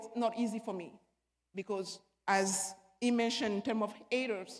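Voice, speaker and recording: A woman speaks with an African accent. Her pace is fairly slow. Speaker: panelist, former basketball player. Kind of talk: panel discussion, personal testimony.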